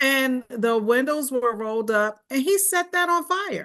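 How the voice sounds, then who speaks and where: A woman with a high pitch uses a raised, projected voice at a very slow pace, her pitch swinging very widely against a quiet background. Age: 60s. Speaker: domestic violence survivor, panelist. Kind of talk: panel discussion, personal testimony. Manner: halting.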